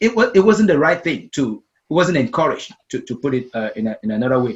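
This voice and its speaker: Very fast and with very wide pitch swings, a man with a Cameroonian accent speaks at a fairly high pitch. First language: Meta. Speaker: storytelling coach and speaker. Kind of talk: interview conversation. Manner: repeats words, some hesitation.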